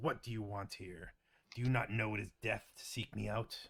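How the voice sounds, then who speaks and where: A man puts on a growling character voice at medium pitch and a moderate pace. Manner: snarling, hostile.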